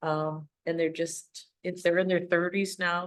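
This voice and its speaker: Here a woman speaks with a fairly low pitch. Her intonation stays fairly even. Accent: Upper Midwest US. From Wisconsin, Holton area. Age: 60s. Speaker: parks committee member. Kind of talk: meeting introductions.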